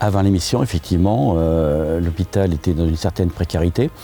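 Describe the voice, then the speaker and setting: A man's very deep, low voice with ordinary pitch variation, over noticeable background noise. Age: 60s. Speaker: volunteer electrician. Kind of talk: interview. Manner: hesitant, frequent filler sounds.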